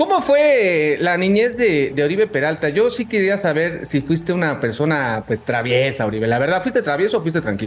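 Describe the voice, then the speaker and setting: A man's high-pitched, animated voice with very wide pitch swings and very even loudness, over noticeable background noise. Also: moderate pace, hardly any pauses. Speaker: sports podcast host. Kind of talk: casual interview.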